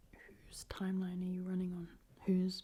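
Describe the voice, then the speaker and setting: The voice is somewhat breathy with a dark, mellow tone. It moves at a moderate pace. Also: woman. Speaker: younger sister of the channel owner, co-reader. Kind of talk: soft-spoken ASMR advice reading.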